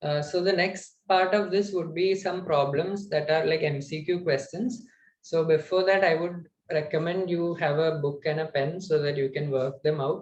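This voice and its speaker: With audible room echo and light background noise, a man talks at a moderate pace in a fairly high pitch with ordinary pitch variation. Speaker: student lecturer on data structures; instructor. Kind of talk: online lecture. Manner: hesitant, many fillers. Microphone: webcam.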